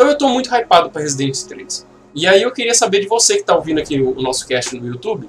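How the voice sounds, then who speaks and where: Here a man talks at a fairly quick pace in a high pitch. His pitch swings very widely. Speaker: YouTuber and podcast host. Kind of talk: solo podcast monologue. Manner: casual, relaxed.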